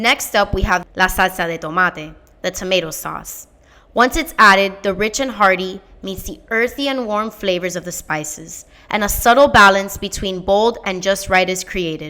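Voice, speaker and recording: At a moderate pace, a woman speaks loudly with medium pitch, ordinary pitch variation, and a bright, sharp tone. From Miami, Florida. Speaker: fellowship applicant. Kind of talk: scripted narration. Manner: animated.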